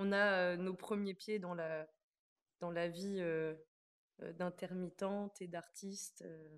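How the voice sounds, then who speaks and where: A woman at a fairly low pitch, monotone and flat, at a very slow pace with long, frequent pauses. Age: 20s. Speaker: stage actress. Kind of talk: interview. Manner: halting, many hesitations.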